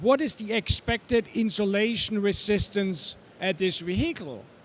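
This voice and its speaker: A man with a slight German accent, high pitch, ordinary pitch variation and a fairly slow pace. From Germany. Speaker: electric vehicle trainer. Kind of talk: panel talk. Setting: trade show stage.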